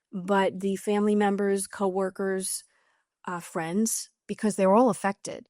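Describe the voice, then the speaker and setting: In a New York accent, a woman of medium pitch speaks at a fairly slow pace, recorded dry and close with no echo on a very clean track with a silent background. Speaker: author. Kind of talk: interview. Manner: blunt, direct.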